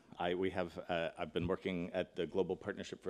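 In a very deep, low pitch, a man speaks at a fairly quick pace with monotone, flat intonation. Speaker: keynote speaker. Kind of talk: conference keynote address. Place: hall. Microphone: podium.

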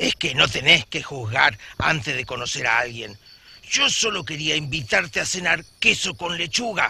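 Putting on a cartoonish character voice, a man speaks at a moderate pace in a fairly high pitch. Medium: puppet.

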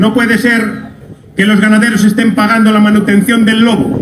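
Against noticeable background noise, a man with a high pitch talks at a moderate pace. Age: 40s. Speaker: farmers' association representative. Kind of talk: rally speech. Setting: outdoor public square with crowd. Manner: impassioned, loud. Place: street.

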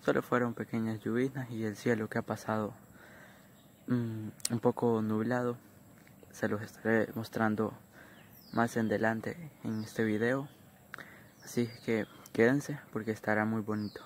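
A fairly slow, monotone delivery with flat intonation, long, frequent pauses, light background noise and a dry sound with no echo. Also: man. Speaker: vlogger. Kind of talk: casual vlog chat. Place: open country. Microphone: phone near.

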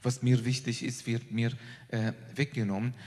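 Medium in pitch with a dark, mellow tone, a man speaks somewhat breathily at a fairly slow pace with fairly even intonation. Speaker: professor of Islamic theology. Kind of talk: panel statement.

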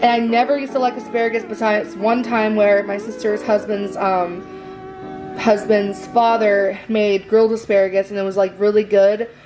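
Clear music plays in the background. The intonation stays fairly even. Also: woman. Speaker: home vlogger. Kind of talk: casual vlog chat. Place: kitchen. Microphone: phone near.

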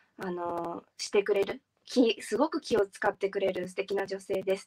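The woman's pace is moderate. Behind her, the background stays quiet. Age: 20s. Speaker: beauty pageant finalist. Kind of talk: interview. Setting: live stream. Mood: warm, praising a fellow finalist. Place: home room. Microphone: video call.

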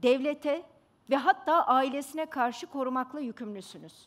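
A woman speaks at a fairly slow pace. Her voice sits high in pitch. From Istanbul, Turkey; Turkey. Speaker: pediatrician; speaker. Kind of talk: stage talk. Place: stage. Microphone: headset.

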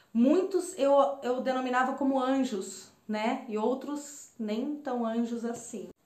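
A woman with a high pitch talks at a very slow pace, with ordinary pitch variation. Audible room echo fills the recording. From Brazil, Campinas, São Paulo state. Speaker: holistic therapist and spiritual mentor. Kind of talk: personal storytelling monologue to camera. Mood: warm, reflective. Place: home room. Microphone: phone near.

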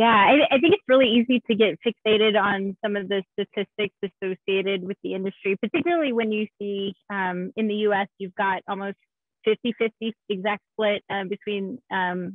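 A woman with an unremarkable speaking voice talks at a moderate pace and medium pitch with fairly even intonation, the sound dry with no echo over a quiet background. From Texas, San Antonio; Texas. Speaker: game industry technical art director; panelist. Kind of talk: panel discussion. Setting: video call. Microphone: video call.

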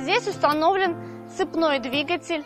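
A woman speaks at a very slow pace, her voice dry with no echo. Clear music plays in the background. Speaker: car reviewer host. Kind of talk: car review presentation. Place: open country. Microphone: lapel.

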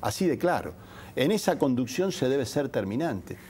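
A man's dark, mellow voice moves at a moderate pace. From Argentina, Santa Fe province (Rafaela); Santa Fe province, Argentina. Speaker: politician, gubernatorial candidate; politician, candidate. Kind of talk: TV interview; interview answer. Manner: frequent hesitations (eh) and repetitions. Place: studio.

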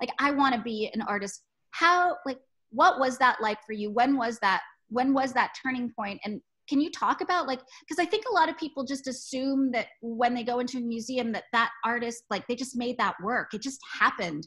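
The tone is bright, sharp and animated, with lively intonation. The pace is moderate against a quiet background. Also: woman, high pitch for a woman. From Texas. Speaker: museum director. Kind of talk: casual chat. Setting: video call. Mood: warm, chatty. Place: home room. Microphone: video call.

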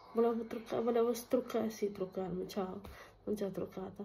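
Somewhat breathy and dark, mellow in tone, a woman's fairly high voice stays flat and monotone. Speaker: vlogger. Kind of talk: casual chat vlog while doing housework. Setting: at home, filming herself. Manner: chatty, rambling.

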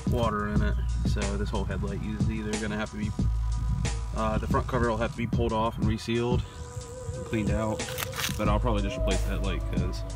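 A man at a very fast pace, dry sound with no echo, loud music in the background. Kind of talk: casual vlog chat. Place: open country. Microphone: phone near.

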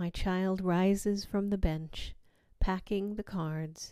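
On a very clean recording with a silent background, a woman speaks at a very slow pace. Her medium-pitched voice has a dark, mellow tone and fairly even intonation. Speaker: poet and podcast host. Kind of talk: poem reading, personal and reflective.

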